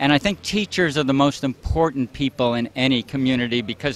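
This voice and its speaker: Pitch variation here is ordinary and the pace moderate. It is a plain, everyday voice. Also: man. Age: 60s. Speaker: marathon runner. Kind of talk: interview.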